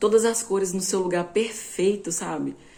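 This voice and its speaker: Against noticeable background noise, a woman with a medium pitch talks at a fairly quick pace. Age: 20s. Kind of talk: informal bible teaching.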